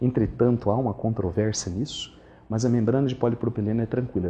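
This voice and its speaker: A man's dark, mellow tone comes through somewhat breathy. His pitch is medium, with ordinary variation. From interior of Brazil. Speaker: dental surgeon. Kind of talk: lecture.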